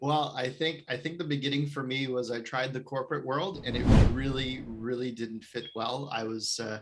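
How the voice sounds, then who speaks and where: Music plays behind a man with a Canadian accent. He speaks with fairly even intonation and hardly any pauses. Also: medium pitch for a man, moderate pace. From Canada. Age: 30s. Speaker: real estate investor. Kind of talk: podcast interview. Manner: halting, many repeated words.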